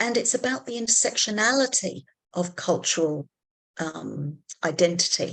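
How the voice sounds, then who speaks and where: With an English accent, a woman speaks fairly slowly at a medium pitch with lively intonation. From England. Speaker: psychology academic. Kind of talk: panel discussion facilitation.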